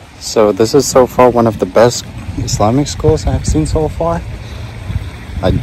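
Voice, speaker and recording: A man is speaking. Noticeable background noise and audible room echo accompany him. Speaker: vlogger. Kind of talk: travel vlog, casual walk-and-talk. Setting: on a school campus near a mosque. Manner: hesitant, many fillers; slow and low volume.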